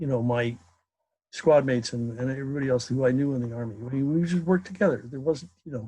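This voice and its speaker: A man talks at a very fast pace in a medium pitch with ordinary pitch variation. His voice is somewhat breathy with a dark, mellow tone. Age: 70s. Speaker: class participant. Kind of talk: group discussion. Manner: halting.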